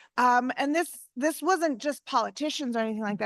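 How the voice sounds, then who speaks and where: The tone is bright and sharp, with ordinary pitch variation. The background is quiet. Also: woman. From Chicago suburbs, Illinois. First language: Spanish. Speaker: local politician. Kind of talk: panel discussion.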